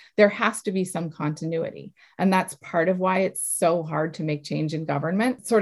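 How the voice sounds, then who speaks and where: A woman speaks with an American accent. Her pace is moderate and her pitch varies in an ordinary way. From Massachusetts, south of Boston. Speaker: health tech entrepreneur. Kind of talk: interview.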